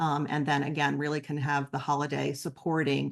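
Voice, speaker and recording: Against a quiet background, a woman speaks with a very deep, low pitch and vocal fry. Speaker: nonprofit presenter. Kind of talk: webinar presentation. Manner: fast; many filler ums.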